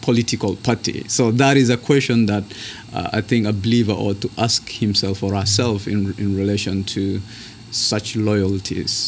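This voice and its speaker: A man with a Kenyan accent, fairly low in pitch, with fairly even intonation. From northern Kenya. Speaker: seminary student. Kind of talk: interview conversation.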